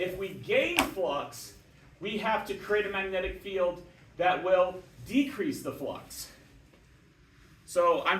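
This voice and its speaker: A high-pitched man with lively intonation and long, frequent pauses, amid noticeable background noise and audible room echo. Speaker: physics teacher. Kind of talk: lecture.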